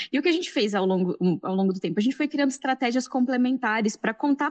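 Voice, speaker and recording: A woman with an interior São Paulo accent talks at a very fast pace with very wide pitch swings. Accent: caipira accent showing. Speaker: science journalist and podcast scriptwriter. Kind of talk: panel discussion. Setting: live-streamed event panel.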